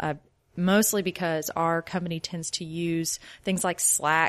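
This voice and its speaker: Using a plain, everyday voice, a woman speaks with a fairly low pitch, fairly even intonation and a moderate pace. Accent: American. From Louisiana, US South (Shreveport). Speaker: software developer. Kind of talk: interview.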